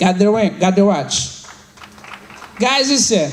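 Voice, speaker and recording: A man speaks at a fairly quick pace with lively intonation. Noticeable background noise runs underneath. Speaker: financial services team leader. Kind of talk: motivational speech to an audience. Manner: high energy, enthusiastic.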